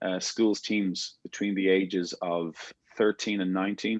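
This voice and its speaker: Here a man with an Irish accent speaks in a fairly low, monotone, flat voice at a fairly slow pace. The sound is dry and close with no echo, over a quiet background. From Ireland, Dublin. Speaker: rugby coach. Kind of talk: coaching workshop. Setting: video call.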